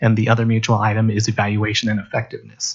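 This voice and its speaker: A man's fairly low voice, somewhat breathy, at a very fast pace. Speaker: district HR administrator. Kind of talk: board meeting presentation.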